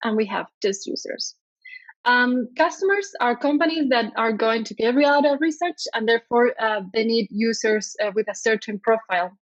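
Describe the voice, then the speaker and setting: In a Spanish accent, the speaker talks at a moderate pace with lively intonation, in a dry, close sound with no echo. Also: woman. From Spain. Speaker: product designer. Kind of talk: conference talk. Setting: conference stage, streamed online. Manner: hesitant, many fillers.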